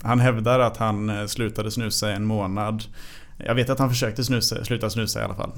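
In a room with audible echo, a man delivers fairly quick, flat, monotone speech in a fairly low voice. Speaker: fencer. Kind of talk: interview. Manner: halting.

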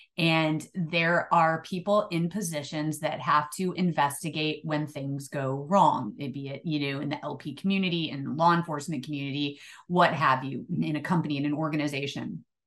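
A woman's very deep, low voice with an American accent, at a moderate pace with hardly any pauses and fairly even intonation. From Illinois. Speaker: retired police chief. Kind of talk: interview.

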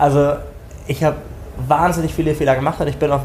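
A man rattles off his words very fast in a flat monotone while noticeable noise fills the background. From northern Germany, Schleswig-Holstein. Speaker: tech company founder. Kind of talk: interview.

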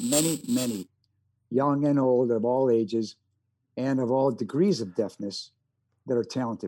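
A man with a Chicago accent speaks at a moderate pace, leaving long, frequent pauses. His medium-pitched voice has a dark, mellow tone. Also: ordinary pitch variation. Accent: Chicago-tinged American. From US Midwest. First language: American Sign Language. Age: 70s. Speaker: actor and war veteran. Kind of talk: casual interview. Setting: video call.

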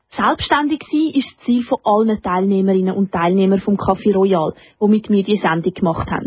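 This woman's voice is somewhat breathy, moving at a fairly quick pace with lively intonation. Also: medium pitch for a woman. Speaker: radio host. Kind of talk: scripted narration. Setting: studio.

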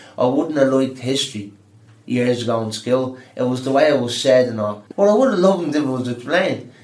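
With a Dublin accent, a man speaks at medium pitch and a fairly quick pace, his pitch varying in an ordinary way, amid audible room echo and noticeable background noise. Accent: Dublin Irish. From Dublin, Ireland. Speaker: adult education student. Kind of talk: interview.

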